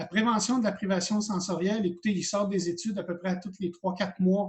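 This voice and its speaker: A man speaks with a Quebec accent. His pitch is high. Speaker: college teacher of hearing aid practice. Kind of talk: lecture. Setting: video call. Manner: fast when enthusiastic.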